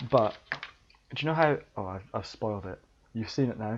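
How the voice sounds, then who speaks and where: Noticeable background noise sits under speech that moves at a fairly quick pace. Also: man. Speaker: podcast host. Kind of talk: casual chat. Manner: animated. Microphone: headset mic via laptop.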